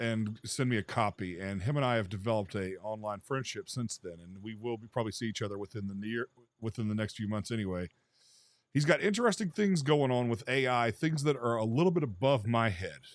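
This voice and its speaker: A fairly quick delivery in a Memphis accent, with ordinary pitch variation and a dry, close sound with no echo. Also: man, medium pitch for a man. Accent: Southern US (Memphis). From US South, Memphis, Tennessee. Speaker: podcast host. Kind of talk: casual interview chat.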